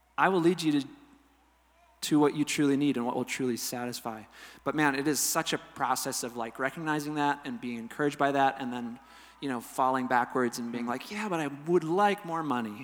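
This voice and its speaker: Fairly quick and fairly high-pitched, a man with an unremarkable speaking voice talks with ordinary pitch variation. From Wisconsin, US Midwest. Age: 30s. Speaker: musician. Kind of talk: interview.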